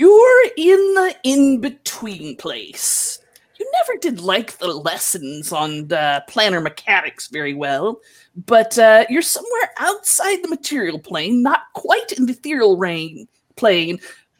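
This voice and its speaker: A woman puts on a character voice at a fairly high pitch, speaking at a fairly slow pace. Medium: actual play. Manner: scolding, lecturing.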